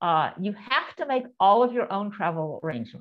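The woman talks at a moderate pace in a quiet setting. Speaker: presenter. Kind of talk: lecture. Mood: warm, reflective storytelling. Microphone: video call.

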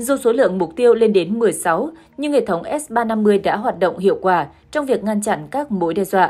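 A woman with an ordinary speaking voice talks at a moderate pace. Her pitch is fairly high and her intonation lively. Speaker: news presenter. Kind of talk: news reading.

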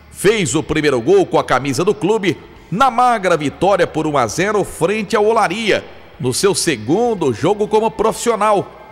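This man has a high-pitched voice with lively intonation and very even loudness. Noticeable background noise sits behind him. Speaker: sports documentary voice-over narrator. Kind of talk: documentary narration. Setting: studio.

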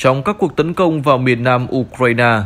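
A man speaks in a normal speaking voice at a fairly high pitch. His pace is moderate, with ordinary pitch variation. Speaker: news presenter. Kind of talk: news reading.

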